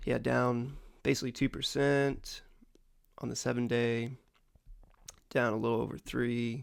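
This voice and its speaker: A man talks at a medium pitch with monotone, flat intonation. His speech has long, frequent pauses. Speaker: crypto market commentator. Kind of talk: tutorial. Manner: casual, many fillers.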